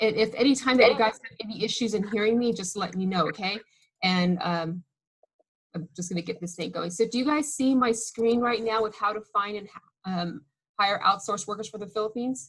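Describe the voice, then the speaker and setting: A woman speaks with a fairly high pitch and ordinary pitch variation. Her voice is somewhat breathy, with big swings in loudness. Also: fairly quick pace. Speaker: business owner. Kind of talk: webinar presentation. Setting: video call. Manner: casual, filler-heavy.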